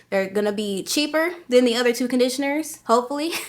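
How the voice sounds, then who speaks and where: With ordinary pitch variation, the words come out at a very fast pace. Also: woman. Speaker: hair care YouTuber. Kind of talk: tutorial. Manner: casual, chatty.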